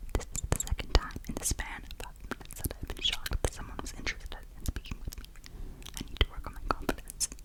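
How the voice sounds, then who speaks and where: A woman whispers at a very fast pace, with big swings in loudness. Noticeable background noise is present. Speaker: ASMR creator. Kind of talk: ASMR book reading. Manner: whispered, soft.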